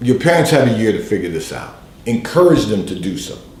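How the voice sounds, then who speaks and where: A man's voice with very wide pitch swings and audible room echo. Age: 60s. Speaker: pastor giving advice on call-in show. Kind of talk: advice broadcast monologue. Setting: livestream broadcast.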